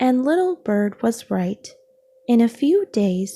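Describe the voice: The text is read aloud. The reading is plain.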